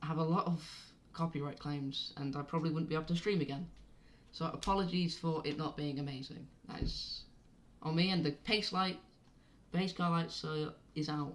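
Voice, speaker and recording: A woman with a very deep, low pitch, a southern English accent, fairly even intonation and a moderate pace. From southern England, Oxfordshire. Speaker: amateur race commentator, live streamer. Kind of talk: live commentary. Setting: live stream. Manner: casual, hesitant with many fillers.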